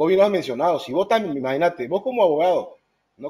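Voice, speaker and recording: A man with vocal fry speaks at a fairly high pitch for a man, his tone dark and mellow. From South America. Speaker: podcast co-host. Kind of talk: interview. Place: home room. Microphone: video call.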